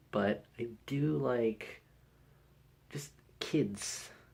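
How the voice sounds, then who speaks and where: Over noticeable background noise, a man at medium pitch speaks with very wide pitch swings. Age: 20s. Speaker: vlogger. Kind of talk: casual chat. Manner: unenthusiastic; halting.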